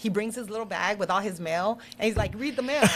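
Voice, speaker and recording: Animated in tone, a woman with a Spanish accent talks at a fairly quick pace in a medium pitch, with ordinary pitch variation. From Mexico (Chihuahua), raised in US. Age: 50s. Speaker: local politician. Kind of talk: casual interview.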